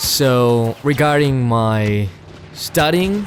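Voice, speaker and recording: A man with a Spanish accent and lively intonation, amid noticeable background noise. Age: 20s. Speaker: voice actor and vlogger. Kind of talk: casual vlog monologue. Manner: hesitant, many fillers.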